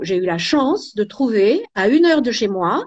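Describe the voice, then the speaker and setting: A woman's voice swings very widely in pitch. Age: 70s. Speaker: cosmetics entrepreneur. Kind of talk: interview. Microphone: poor network connection.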